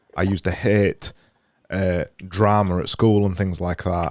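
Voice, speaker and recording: A man speaks with a Yorkshire accent and fairly even intonation. The recording is very clean, with a silent background. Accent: Yorkshire, clipped. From Yorkshire, northern England. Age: 30s. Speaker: podcast host. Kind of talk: interview conversation. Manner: halting.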